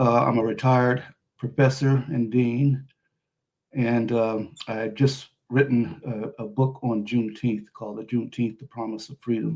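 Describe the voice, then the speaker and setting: Speaking at a moderate pace with an American accent, a man at medium pitch keeps a monotone, flat intonation while his loudness swings widely. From Missouri, US. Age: 70s. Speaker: retired professor and author. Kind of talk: podcast interview.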